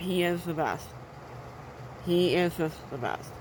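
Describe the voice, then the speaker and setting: A woman's fairly low, monotone voice with flat intonation and audible room echo. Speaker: movie reviewer. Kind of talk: casual review monologue. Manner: halting, many fillers.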